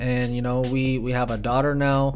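A man's fairly high-pitched voice at a fairly quick pace, with audible room echo. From Bay Area, California; moved to Las Vegas at 11. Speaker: podcast co-host, music producer and financial services entrepreneur. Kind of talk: casual solo monologue. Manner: casual, filler-heavy.

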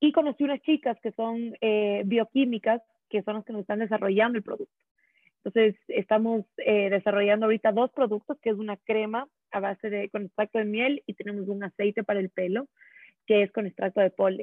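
A woman talks in a plain, everyday voice at a fairly high pitch. Her pace is fairly quick and her intonation fairly even. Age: 20s. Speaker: content creator. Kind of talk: casual chat.

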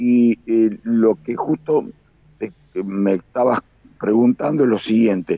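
The speech moves at a very slow pace, broken by long, frequent pauses. Pitch variation is ordinary. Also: man, medium pitch for a man. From Argentina, Buenos Aires province (Carlos Casares). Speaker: aerobatic pilot. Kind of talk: live radio interview. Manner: halting, with many fillers and repetitions.

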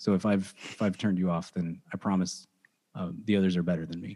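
Over a silent background in a very clean recording, a man with an American accent talks very fast in a very deep, low voice. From Dallas-Fort Worth, Texas. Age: 30s. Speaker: sports and movie podcast host. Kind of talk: casual chat.

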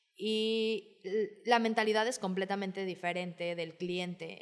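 On a very clean recording with a silent background, a woman talks at medium pitch and a very slow pace. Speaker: hotel sales and marketing manager. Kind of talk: interview.

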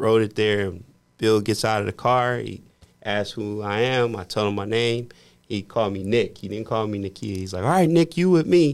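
A man with an American accent speaks at a moderate pace, in a fairly low pitch with ordinary pitch variation and an unremarkable speaking voice. The recording is very clean with a silent background. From US Midwest, Indiana. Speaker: podcast host and mortgage professional. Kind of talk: casual chat.

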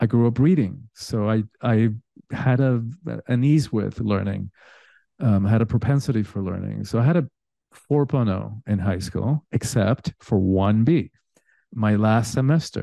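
With a Spanish accent, a man speaks at a fairly slow pace in a dark, mellow tone, the sound dry and close with no echo against a quiet background. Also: medium pitch for a man, ordinary pitch variation. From Cuba. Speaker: spiritual teacher and coach. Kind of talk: casual interview chat.

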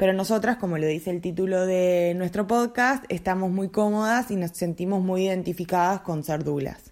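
The speaker has a Uruguayan accent and keeps a moderate pace. There are hardly any pauses, and the pitch varies in an ordinary way. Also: woman, medium pitch for a woman. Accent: Rioplatense Spanish (Uruguayan). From Uruguay, Montevideo. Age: 30s. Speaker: doula, podcast co-host. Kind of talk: casual chat.

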